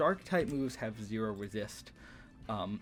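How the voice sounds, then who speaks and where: A man's fairly low-pitched voice is heard with music playing behind it. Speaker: gaming youtuber, competitive Pokemon coach. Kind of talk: casual commentary. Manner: fast; hesitant, many fillers.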